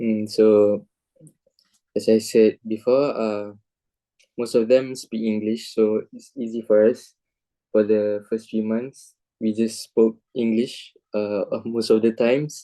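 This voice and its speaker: A man with a Malaysian accent speaks at a very slow pace with long, frequent pauses. His tone is dark and mellow, his intonation monotone and flat. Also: medium pitch for a man. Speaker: university student. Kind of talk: interview.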